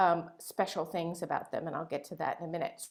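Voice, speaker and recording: On a very clean recording with a silent background, a woman talks. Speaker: local climate advocate. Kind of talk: panel presentation. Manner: halting, many fillers and restarts.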